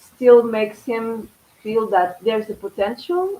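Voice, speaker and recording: A woman's fairly high voice with lively intonation, a very slow pace and a Portuguese accent. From Portugal. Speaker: tarot reader. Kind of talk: live stream tarot reading. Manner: halting.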